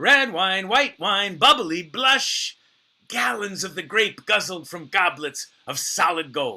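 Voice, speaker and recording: A man with a high pitch uses a raised, projected voice, a bright, sharp tone and a playful tone, swinging his pitch very widely at a very slow pace. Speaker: actor and storyteller. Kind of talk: solo storytelling performance. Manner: playful, comic.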